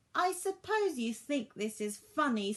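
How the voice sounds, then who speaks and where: Using a put-on character voice, a woman talks at a moderate pace in a high pitch with very wide pitch swings. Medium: read story. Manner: bragging, excitable.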